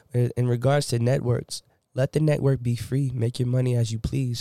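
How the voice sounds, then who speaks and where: A man's dark, mellow voice at a medium pitch and moderate pace, flat and monotone, with a dry, close sound and no echo. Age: young. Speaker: podcast guest. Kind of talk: casual chat.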